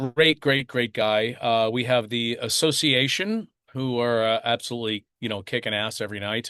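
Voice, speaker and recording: A man speaks at a fairly slow pace in a medium pitch, his tone bright and sharp, with a dry, close sound, no echo and a quiet background. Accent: American. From US Northeast, Long Island. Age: 60s. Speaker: touring bass player. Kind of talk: interview. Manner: hesitant, many fillers.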